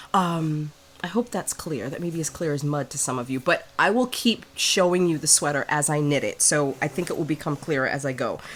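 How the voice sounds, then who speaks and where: A woman talks at a fairly quick pace in a very deep, low voice. Her tone is relaxed and her intonation lively. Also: hardly any pauses. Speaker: knitting podcaster. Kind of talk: casual talk to camera. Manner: relaxed, chatty.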